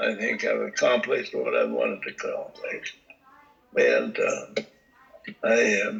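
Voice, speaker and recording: With an American accent, a man speaks at a fairly slow pace, leaving long, frequent pauses over noticeable background noise. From Montana. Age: 90s. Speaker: elderly relative interviewed. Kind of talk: interview. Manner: halting.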